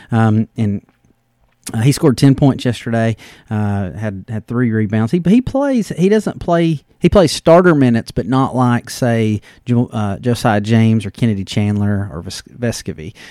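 On a very clean recording with a silent background and a dry, close sound with no echo, a man with a Southern US accent speaks at a medium pitch in a dark, mellow tone with lively intonation. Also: moderate pace. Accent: Southern American. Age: 40s. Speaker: sports podcast host. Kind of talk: casual solo podcast monologue. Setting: home study. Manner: hesitant, many fillers.

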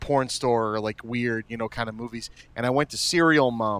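Speaking in an ordinary speaking voice at a fairly quick pace, a man keeps a medium pitch and fairly even intonation, the sound dry and close with no echo. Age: 30s. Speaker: podcast host, former video store clerk. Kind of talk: casual chat.

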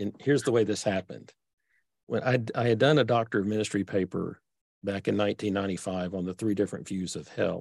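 Speaking very fast with a Texas accent and ordinary pitch variation, the voice sounds dry and close with no echo. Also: man, fairly low pitch for a man. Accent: Texas accent, persistent. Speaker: author and theologian. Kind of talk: interview conversation. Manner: simple, unpretentious delivery.

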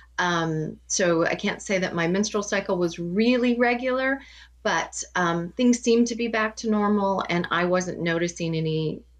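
A woman speaks with a Midwestern US accent. Her pitch varies in an ordinary way. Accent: US Midwest. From Kansas. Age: 50s. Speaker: cancer patient and health coach. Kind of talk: interview.

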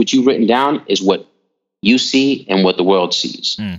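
Speaking fairly slowly, a man keeps a medium pitch with ordinary pitch variation. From Puerto Rico and New York. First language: Spanish. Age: 40s. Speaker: actor and former rapper. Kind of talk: casual interview. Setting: phone call. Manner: halting.

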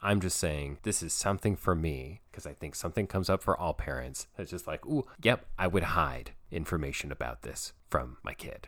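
Vocal fry and lively intonation with hardly any pauses and big swings in loudness, recorded very cleanly against a silent background. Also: man, very deep, low pitch for a man, moderate pace. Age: 30s. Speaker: podcast host and play therapist. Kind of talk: solo podcast monologue.

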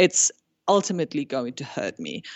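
A woman with a German accent and very wide pitch swings. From Germany. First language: German and Spanish. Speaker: food blogger. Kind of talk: casual interview.

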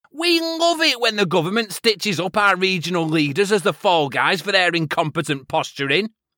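With a raised, projected voice, a man speaks at high pitch in a bright, sharp tone, taking very wide pitch swings at a moderate pace, dry and close with no echo on a very clean recording with a silent background. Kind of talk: comic character rant, parody on-the-ground correspondent segment. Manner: ranting, sweary, exasperated, sarcastic.

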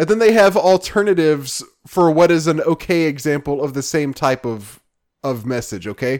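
With lively intonation and a fairly high pitch, a man talks at a moderate pace in a normal speaking voice, captured in a very clean recording with a silent background. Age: 30s. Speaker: podcast host. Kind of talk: casual chat.

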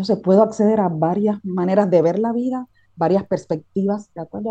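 A woman's dark, mellow, medium-pitched voice at a fairly quick pace. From Cuba. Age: 40s. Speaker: transpersonal coach. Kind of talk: casual chat.

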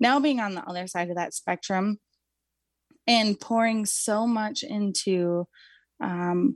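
An ordinary speaking voice moves at a fairly slow pace with ordinary pitch variation. The sound is dry and close with no echo, over a quiet background. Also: woman. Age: 20s. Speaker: mother and nutrition advocate, trauma survivor. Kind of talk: interview conversation.

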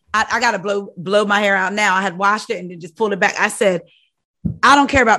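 A woman's very fast, animated, bright and sharp medium-pitched voice with big swings in loudness, over a quiet background. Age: 40s. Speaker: podcast host. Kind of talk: casual chat.

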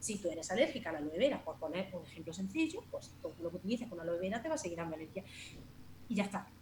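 A woman speaks at a very fast pace in a medium pitch, her voice making very wide pitch swings. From Andalusia, Jaén province. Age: 40s. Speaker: natural cosmetics shop owner. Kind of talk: casual interview.

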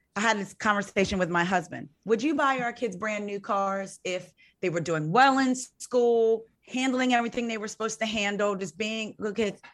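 A woman speaks at a moderate pace with a fairly high pitch and ordinary pitch variation, an unremarkable speaking voice. The recording is very clean, with a silent background. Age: 40s. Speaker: podcast host. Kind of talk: casual chat.

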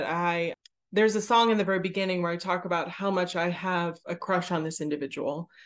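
This is a woman with an ordinary speaking voice. Her intonation is fairly even. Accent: American. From Pittsburgh, US. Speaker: theatre creator and performer. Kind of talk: interview.

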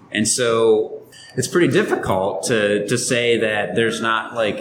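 At a fairly slow pace, a man talks at medium pitch over noticeable background noise. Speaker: podcast co-host. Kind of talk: casual banter, joking. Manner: jokey, animated.

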